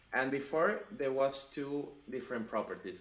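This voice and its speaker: A man with a non-native accent, medium pitch and a moderate pace. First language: not English. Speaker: web developer, channel host. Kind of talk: pair programming session. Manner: halting.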